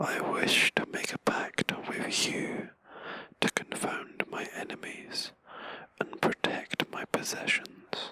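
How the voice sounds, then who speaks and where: A man whispers at a very slow pace in a relaxed tone. The sound is dry and close with no echo, though noticeable background noise is present. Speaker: let's play commentator. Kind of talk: whispered gaming commentary. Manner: whispered, relaxed.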